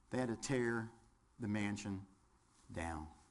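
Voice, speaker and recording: This man has a Southern US accent and talks at a fairly slow pace with ordinary pitch variation. Audible room echo is present. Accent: southern twang. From West Virginia. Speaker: firefighter instructor. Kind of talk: lecture. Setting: classroom with audience, webcast.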